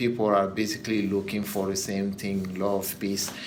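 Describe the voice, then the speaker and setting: With ordinary pitch variation, a man speaks amid audible room echo. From Guinea. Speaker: former exchange graduate student. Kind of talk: interview. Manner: halting, with fillers.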